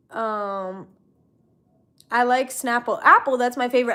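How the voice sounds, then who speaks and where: A woman with an American accent speaks in a high pitch with lively intonation. Her voice is raised and projected, and her pace is moderate. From Florida. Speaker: YouTuber. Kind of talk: casual livestream chat. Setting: livestream from computer. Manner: loud.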